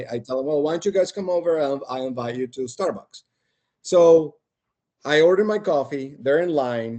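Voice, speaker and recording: Using a dark, mellow tone, a man with a Spanish accent speaks at a fairly high pitch, a moderate pace and ordinary pitch variation. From Colombia, Barranquilla (Caribbean coast). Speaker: podcast guest, engineering team lead. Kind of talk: casual chat, storytelling. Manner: animated.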